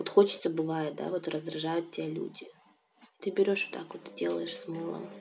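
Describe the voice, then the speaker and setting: A woman at a moderate pace, relaxed in tone, with big swings in loudness over light background noise. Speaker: video blogger. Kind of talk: casual talk to camera. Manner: relaxed, chatty. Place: home room. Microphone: phone near.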